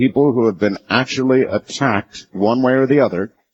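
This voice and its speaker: Vocal fry marks this man's medium-pitched voice. His intonation is lively, and the sound is dry and close with no echo. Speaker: radio talk show host. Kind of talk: late-night radio show opening. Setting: radio studio.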